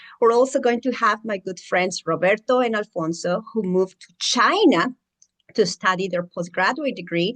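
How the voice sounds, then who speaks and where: Talking at a moderate pace with a strong Mexican accent, a woman of medium pitch shows ordinary pitch variation and big swings in loudness, recorded with a dry, close sound with no echo. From Mexico. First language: Spanish. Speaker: educator and mentor for international students. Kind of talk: channel introduction monologue.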